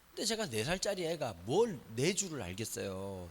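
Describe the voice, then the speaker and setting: Here a man speaks with a Busan accent, his voice showing vocal fry. His pitch swings very widely, and the recording is very clean with a silent background. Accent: Busan (Gyeongsang). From Busan, South Korea. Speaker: pastor. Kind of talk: sermon. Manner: conversational.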